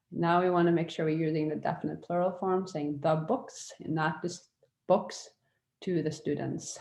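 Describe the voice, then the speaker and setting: Speaking with a Norwegian accent, a woman has a very deep, low pitch and a dark, mellow tone. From Norway. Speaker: language teacher. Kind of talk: online lecture. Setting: virtual classroom. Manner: casual with hesitations.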